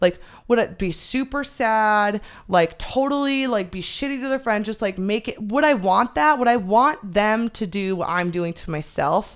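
Heard on a very clean recording with a silent background, a woman with an American accent uses a plain, everyday voice, fairly high in pitch, with lively intonation at a moderate pace. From Arizona. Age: 30s. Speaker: podcast guest. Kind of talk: casual chat.

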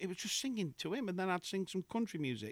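A man with an English Midlands accent talks with very wide pitch swings on a very clean recording with a silent background. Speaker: singer and impressionist. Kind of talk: casual chat. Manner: jokey, laughs often.

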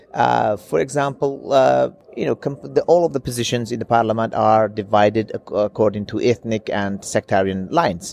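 Over noticeable background noise, a man speaks at a moderate pace and a fairly low pitch. His intonation is lively and he hardly pauses. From Iraqi Kurdistan (Sulaymaniyah). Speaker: former member of parliament, ex-journalist. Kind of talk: interview. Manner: halting, many fillers.

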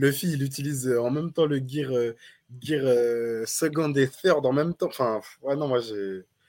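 In a very clean recording with a silent background, a man uses a normal speaking voice, fairly high in pitch, with ordinary pitch variation. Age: 20s. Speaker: podcast co-host. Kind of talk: casual chat.

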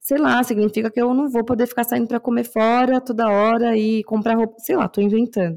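A woman with a São Paulo accent, fairly high in pitch and fairly even in intonation, at a fairly quick pace with hardly any pauses, very even loudness, and a quiet background. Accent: Paulistano Brazilian Portuguese. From São Paulo, Brazil (Zona Norte). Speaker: podcast co-host. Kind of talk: casual chat.

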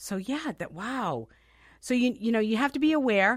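A woman with an American accent speaks at a moderate pace in an ordinary speaking voice. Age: 50s. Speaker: radio talk show host. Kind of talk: casual radio chat. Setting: radio studio.

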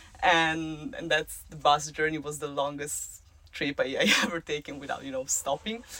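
A woman's very deep, low voice with ordinary pitch variation at a moderate pace. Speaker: co-host travel companion. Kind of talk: casual chat. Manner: excitable.

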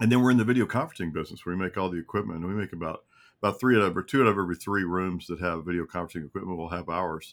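A man with a very deep, low pitch, ordinary pitch variation, and a very fast pace. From Kentucky. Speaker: company CEO. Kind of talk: interview. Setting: video call.

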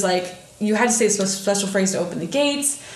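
A woman with a Midwestern US accent talks at a fairly quick pace. Noticeable background noise and audible room echo are present. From northern Indiana. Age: 20s. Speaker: podcast co-host. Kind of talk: casual chat.

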